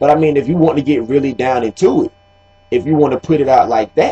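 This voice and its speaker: A man with an American accent talks at a fairly high pitch while music plays in the background. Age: 20s. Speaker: video blogger. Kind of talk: casual commentary monologue.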